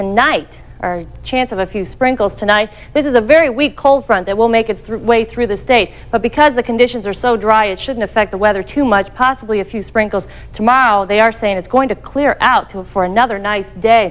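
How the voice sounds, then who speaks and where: At a fairly quick pace, the voice shows ordinary pitch variation. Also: woman. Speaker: TV presenter. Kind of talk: weather forecast presentation. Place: studio.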